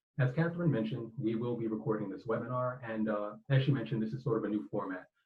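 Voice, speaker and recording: Somewhat breathy male speech at a very fast pace, medium in pitch with ordinary pitch variation. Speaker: librarian and webinar facilitator. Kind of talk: webinar facilitation. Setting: online webinar.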